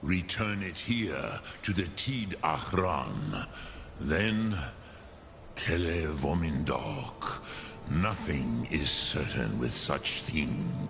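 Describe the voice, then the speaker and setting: Over clear background noise, a man puts on a character voice with a very deep, low pitch and a very slow pace. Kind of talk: game dialogue. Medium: video game. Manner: slow, solemn, wise.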